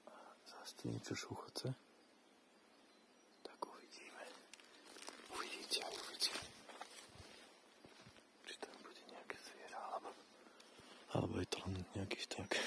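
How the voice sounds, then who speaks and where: Whispering in a calm tone, with long, frequent pauses, big swings in loudness and noticeable background noise. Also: man, moderate pace. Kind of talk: ASMR forest walk talk to camera. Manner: soft-spoken, calm.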